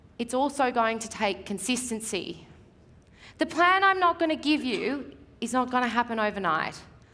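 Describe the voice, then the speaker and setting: A woman's high, bright and sharp voice with an Australian accent, animated in tone, with very wide swings in pitch. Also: moderate pace. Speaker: real estate media coach. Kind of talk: seminar presentation. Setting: stage with audience.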